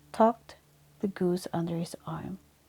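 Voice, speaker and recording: Soft-spoken and dark, mellow in tone, a woman speaks at a fairly slow pace and a medium pitch with fairly even intonation on a very clean recording with a silent background. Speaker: sleep story reader. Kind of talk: sleep story.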